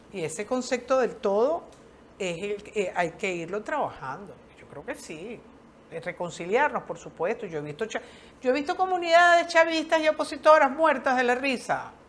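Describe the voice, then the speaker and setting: Over noticeable background noise, a woman speaks at a high pitch and a moderate pace, with very wide pitch swings and big swings in loudness. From Venezuela. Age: 60s. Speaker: social worker. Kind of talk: interview. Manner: animated.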